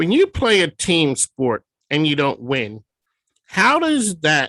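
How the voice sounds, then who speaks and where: Slowly, very slowly, a man speaks with an American accent and a bright, sharp tone. His pitch varies in an ordinary way, and the sound is dry and close with no echo. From Philadelphia. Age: 60s. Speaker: radio host. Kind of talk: interview.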